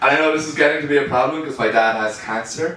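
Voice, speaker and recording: A man with an Irish accent talks at a very fast pace. Noticeable background noise and audible room echo surround him. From Ireland. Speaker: comedian. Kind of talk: stand-up. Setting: stage with audience.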